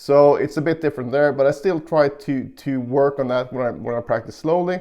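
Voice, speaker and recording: The speaker is a man with a plain, everyday voice, fairly high in pitch. He talks at a moderate pace with ordinary pitch variation. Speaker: guitar teacher. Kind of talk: tutorial.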